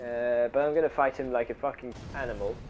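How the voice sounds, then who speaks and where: The speaker uses a monotone, flat intonation with a non-native accent. The pace is moderate, with noticeable background noise. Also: man. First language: non-native English speaker. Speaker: gamer, video game commentator. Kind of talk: gameplay commentary. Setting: low-quality home microphone.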